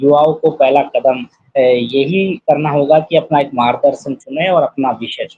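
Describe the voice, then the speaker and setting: A man with an ordinary speaking voice, fairly high pitch, big swings in loudness and fairly even intonation. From Rajasthan, India. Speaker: poet and social worker. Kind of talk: interview. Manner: formal.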